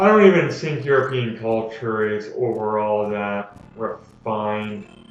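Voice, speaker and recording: A man with a Canadian accent speaks with ordinary pitch variation, amid audible room echo and noticeable background noise. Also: medium pitch for a man, fairly slow pace. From Canada. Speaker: gaming commentator. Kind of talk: let's play commentary. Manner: casual, rambling with fillers.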